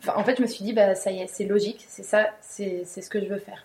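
A woman talks at a moderate pace, her medium pitch held in fairly even intonation. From Paris suburbs, France. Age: young. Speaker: apprentice winegrower, former marketing professional. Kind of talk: interview, personal story. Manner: hesitant, many fillers.

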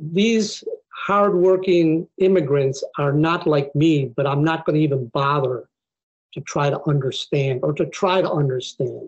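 In an American accent, the somewhat breathy voice keeps a fairly slow pace, very even loudness and ordinary pitch variation. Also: man, fairly high pitch for a man. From Buffalo, New York, US; Mexican community. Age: 60s. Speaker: immigration law professor. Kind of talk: interview conversation.

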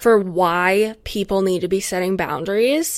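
In an American accent, a woman talks at a fairly slow pace and medium pitch with ordinary pitch variation. The recording is very clean, with a silent background. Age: 20s. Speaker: podcast host. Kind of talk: solo casual monologue. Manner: rambling, tangential.

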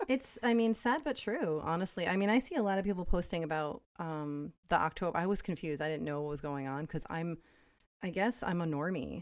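The recording is very clean and the background silent. Delivered fairly quickly with lively intonation, it is a plain, everyday voice. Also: woman, fairly low pitch for a woman. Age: 40s. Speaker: podcast co-host. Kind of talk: casual chat.

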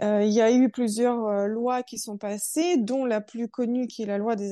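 Her fairly high voice has a dark, mellow tone with ordinary pitch variation. The woman speaks at a very slow pace. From born in Russia, raised in France. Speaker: human rights association spokesperson. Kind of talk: interview.

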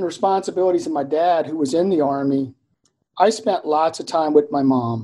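Here is a man with an American accent and a dark, mellow tone. He keeps a moderate pace. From Germany (US military family). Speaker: engineering dean and professor. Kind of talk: interview.

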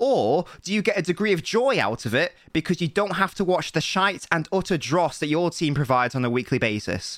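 With a very high voice for a man, very wide pitch swings and hardly any pauses, he speaks on a very clean recording with a silent background. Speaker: football podcast co-host. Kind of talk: casual chat. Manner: animated.

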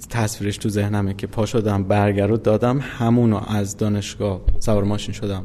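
Against noticeable background noise, a man with a fairly low pitch talks at a moderate pace with hardly any pauses and a monotone, flat intonation. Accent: Isfahani. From Iran, Isfahan. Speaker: game company founder. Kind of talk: interview.

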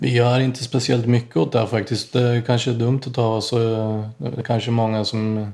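A man's medium-pitched, monotone voice with flat intonation, at a moderate pace with hardly any pauses. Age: 40s. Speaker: tile setter. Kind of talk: casual chat.

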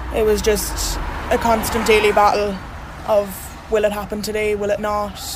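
A woman with a Cork accent speaks at a moderate pace in a medium pitch, her intonation flat and monotone, with noticeable background noise. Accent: Cork Irish. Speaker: abuse survivor. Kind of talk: testimony.

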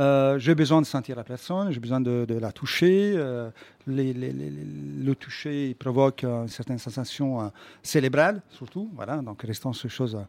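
Speaking with an Italian accent, this man keeps a fairly slow pace. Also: medium pitch for a man, ordinary pitch variation. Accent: put-on Italian accent in French. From Quebec, Montreal. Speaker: comedian. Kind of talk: radio interview. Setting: studio.

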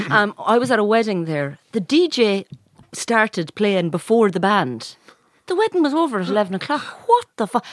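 In an Irish accent, a woman sounds animated at a moderate pace and a fairly high pitch, with very wide pitch swings in a dry, close sound with no echo. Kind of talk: casual banter podcast chat. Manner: joking, animated.

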